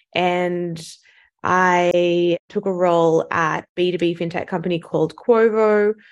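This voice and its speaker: A woman speaks in a fairly low pitch and a monotone, flat intonation with an Australian accent, over a quiet background. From Sydney, Australia. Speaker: venture capital investor. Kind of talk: interview conversation.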